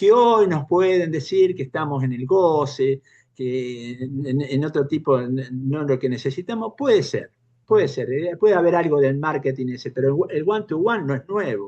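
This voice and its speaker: A man's voice has a dark, mellow tone and a fairly high pitch. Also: lively intonation, moderate pace. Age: 70s. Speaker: panel participant in political discussion forum. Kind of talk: panel discussion. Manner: halting, many false starts.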